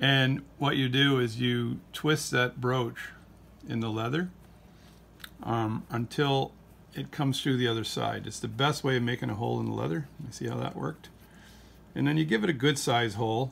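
Over light background noise, a man speaks at a moderate pace with ordinary pitch variation and long, frequent pauses. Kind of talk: tutorial. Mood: relaxed, humorous. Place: workshop. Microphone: phone near.

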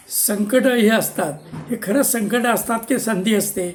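A man's high-pitched voice with fairly even intonation, music playing in the background. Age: 70s. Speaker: retired civil engineer. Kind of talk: personal storytelling monologue.

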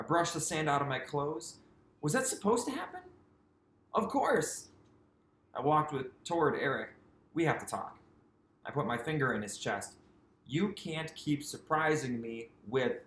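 In a space with audible room echo, a man speaks with long, frequent pauses. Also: moderate pace. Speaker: teacher reading aloud. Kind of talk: read-aloud storytelling for children. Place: home room. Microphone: webcam.

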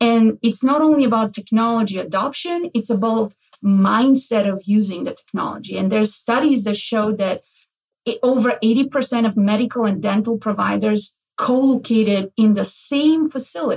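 At a moderate pace, a woman with a normal speaking voice talks at a fairly high pitch with ordinary pitch variation. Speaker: healthcare executive, podcast host.

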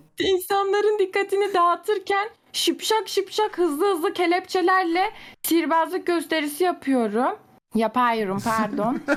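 Extremely high in pitch, a woman speaks at a fairly slow pace with very even loudness. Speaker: gamer friend. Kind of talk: casual chat, party game.

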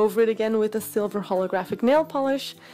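A woman talks at a very fast pace with a non-native accent. Her voice is fairly high in pitch, with a dark, mellow tone. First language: not English. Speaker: nail art youtuber. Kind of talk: tutorial voiceover. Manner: casual, chatty.

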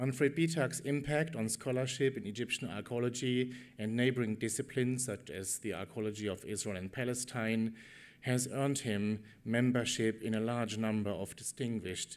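At a moderate pace, the man's pitch varies by ordinary amounts. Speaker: conference host introducing keynote. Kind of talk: formal introduction speech. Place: hall. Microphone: podium.

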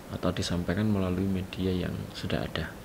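Against noticeable background noise, a man speaks with a very deep, low pitch and ordinary pitch variation. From Jombang, East Java, Indonesia; East Java, Indonesia. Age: 40s. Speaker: teacher, vice principal for curriculum. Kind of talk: school orientation presentation. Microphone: webcam.

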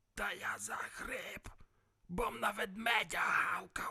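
This is a put-on character voice, raspy, croaky and hoarse, at a fairly high pitch. It moves at a very slow pace.

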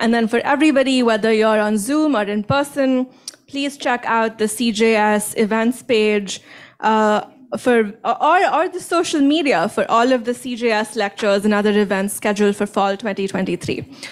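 Against a quiet background, a woman with an ordinary speaking voice and a fairly high pitch speaks at a fairly slow pace. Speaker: nuclear engineering professor. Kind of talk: event introduction and moderation. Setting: stage with audience. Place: hall.

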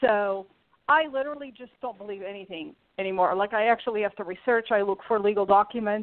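A woman talks at a fairly quick pace in a fairly high pitch with ordinary pitch variation. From Portugal, moved to US as a teenager. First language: Portuguese. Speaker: YouTuber. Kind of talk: interview.

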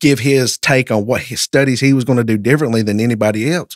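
The background is quiet. The sound is dry with no echo. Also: man. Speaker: podcast guest. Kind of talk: interview answer, storytelling. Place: studio. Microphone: studio mic.

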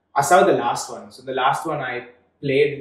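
A man with a fairly high pitch in audible room echo. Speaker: startup founder. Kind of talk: interview. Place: studio.

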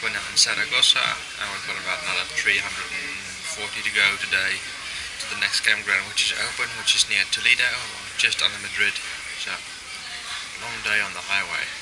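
Music plays behind a man talking at a moderate pace. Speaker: traveller vlogger. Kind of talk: casual vlog chat. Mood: cheerful, amused. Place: cafe. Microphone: phone near.

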